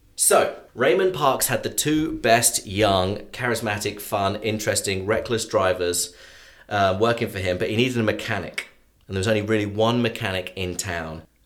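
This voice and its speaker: A moderate pace in an English accent. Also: man, fairly low pitch for a man, ordinary pitch variation. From England. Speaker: sports journalist and local historian. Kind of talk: storytelling interview.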